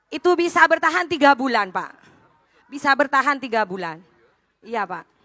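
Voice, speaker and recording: With a Madurese accent, a woman projects a raised, high voice with a bright, sharp tone at a moderate pace, in a very clean recording with a silent background. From Bondowoso, East Java, Indonesia. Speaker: small business owner, microfinance participant. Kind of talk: testimony to a dignitary at a public event.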